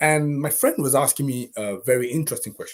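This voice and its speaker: Somewhat breathy, a man speaks at a moderate pace. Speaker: renewable energy channel host. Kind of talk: live stream talk. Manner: halting, many fillers.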